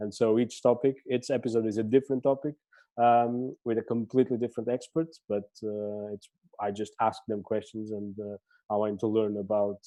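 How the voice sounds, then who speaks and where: A man speaks with a Portuguese accent at a fairly low pitch. His intonation stays fairly even. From Portugal. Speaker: podcaster and festival director. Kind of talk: talk to a training group. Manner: halting, many fillers.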